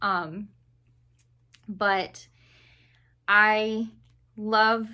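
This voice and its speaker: On a very clean recording with a silent background, a woman with an American accent speaks at a fairly high pitch in a bright, sharp tone. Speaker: book reviewer. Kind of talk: casual chat. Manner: casual with many fillers.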